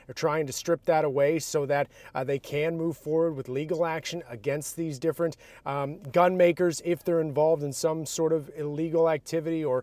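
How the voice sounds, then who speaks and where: Over a very clean recording with a silent background, a man with an American accent has an unremarkable speaking voice and a fairly high pitch. His fairly even intonation moves at a moderate pace, with a dry, close sound and no echo. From outside Massachusetts. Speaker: political reporter. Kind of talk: casual political discussion.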